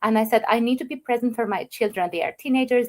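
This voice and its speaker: An Albanian accent with ordinary pitch variation. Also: woman. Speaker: online business owner. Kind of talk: interview. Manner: halting.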